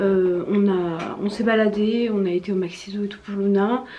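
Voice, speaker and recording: Noticeable background noise sits behind the recording. A woman speaks with monotone, flat intonation. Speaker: vlogger. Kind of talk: casual vlog talk. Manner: hesitant with many fillers; soft-spoken.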